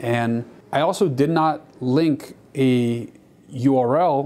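The man's tone is dark and mellow, and his pitch varies in an ordinary way. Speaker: stock footage creator. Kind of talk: casual vlog chat. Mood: reflective, mildly disappointed. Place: studio. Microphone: lapel.

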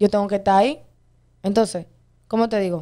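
The woman's tone is dark and mellow. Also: quiet background. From Dominican Republic. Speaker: viral dancer and social media personality; interview guest. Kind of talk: interview. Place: studio. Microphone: studio mic.

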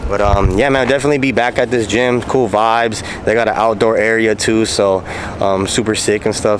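A man talks at a moderate pace with fairly even intonation. The sound is dry with no echo, and there is light background noise. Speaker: vlogger. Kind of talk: casual vlog chat. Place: street. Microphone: phone near.

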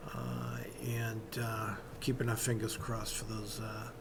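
A man's fairly low-pitched voice with vocal fry, monotone, flat intonation, a slow pace and audible room echo

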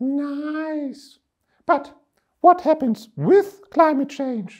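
Using a put-on character voice at an extremely high pitch, a man speaks at a very slow pace.

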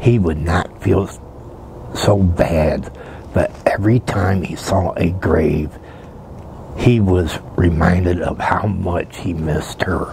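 Soft-spoken and very slow, a man with a very deep, low pitch uses fairly even intonation and long, frequent pauses over light background noise. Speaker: storyteller. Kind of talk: soft-spoken story reading. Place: open country. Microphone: lapel.

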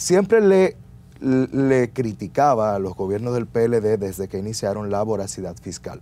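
A man speaks at a fairly slow pace in a dark, mellow tone. His pitch shows ordinary variation. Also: fairly low pitch for a man. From Dominican Republic. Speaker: lawyer. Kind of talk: interview. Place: studio. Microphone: lapel.

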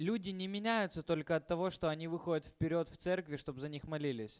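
Recorded very cleanly against a silent background with a dry, close sound and no echo, a high-pitched man speaks at a moderate pace with ordinary pitch variation and big swings in loudness. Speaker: interpreter. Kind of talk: lecture. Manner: halting.

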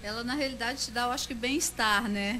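A woman speaks with a bright, sharp tone and fairly even intonation over light background noise. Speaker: nutritionist. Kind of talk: radio interview answer. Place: studio.

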